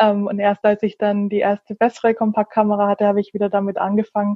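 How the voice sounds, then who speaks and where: Speaking fairly quickly, the woman keeps a medium pitch. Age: 30s. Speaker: photographer, small shop owner. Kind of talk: casual interview. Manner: hesitant, many fillers.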